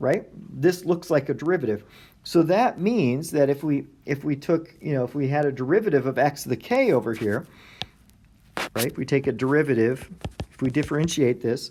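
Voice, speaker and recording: A man's fairly high-pitched voice with a dark, mellow tone and lively intonation, at a fairly quick pace broken by long, frequent pauses. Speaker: math lecturer. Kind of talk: lecture. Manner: halting.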